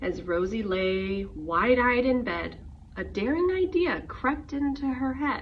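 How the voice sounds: A woman's fairly high voice at a slow pace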